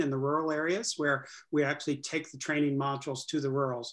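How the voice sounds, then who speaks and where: Over a quiet background, a man with a fairly high pitch speaks at a fairly quick pace in a monotone, flat intonation. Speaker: state economic development official; moderator. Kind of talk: panel discussion. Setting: video call. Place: home room. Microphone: video call.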